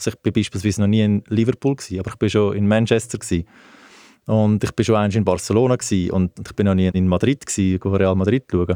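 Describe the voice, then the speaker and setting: The voice moves at a very fast pace with fairly even intonation and a dark, mellow tone. The recording is very clean with a silent background, dry and close with no echo. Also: man, fairly low pitch for a man. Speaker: sports travel company director, ex-footballer. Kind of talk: casual interview. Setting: studio.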